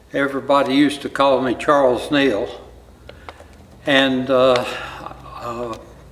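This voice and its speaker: Against noticeable background noise and audible room echo, the speech moves at a fairly slow pace with monotone, flat intonation and long, frequent pauses. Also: man, medium pitch for a man. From eastern Kentucky. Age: 80s+. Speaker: church member. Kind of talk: testimony.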